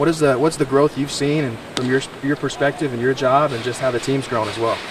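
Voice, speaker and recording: Against noticeable background noise, a man with a medium pitch speaks at a fairly quick pace with fairly even intonation. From Kentucky. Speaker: sports anchor and reporter. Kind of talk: on-location interview questions as reporter. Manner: conversational, friendly.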